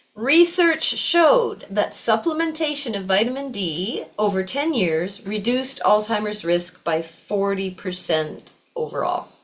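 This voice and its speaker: Hardly pausing, a woman talks at a fairly slow pace with a fairly high pitch and very wide pitch swings. Noticeable background noise runs underneath. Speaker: yoga teacher. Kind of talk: class lecture.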